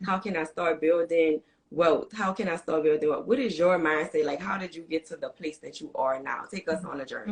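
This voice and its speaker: A woman's fairly low voice in a New Orleans accent, fairly quick with hardly any pauses, big swings in loudness and ordinary pitch variation. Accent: New Orleans accent, full. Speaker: podcast host. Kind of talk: reading guest introduction; interview.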